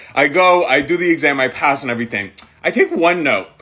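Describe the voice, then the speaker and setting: Over noticeable background noise, a man with a fairly high pitch speaks in an animated tone with lively intonation. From Middle East (Jordan, Saudi Arabia). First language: Arabic. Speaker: content creator. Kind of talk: storytime monologue. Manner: casual, filler-heavy.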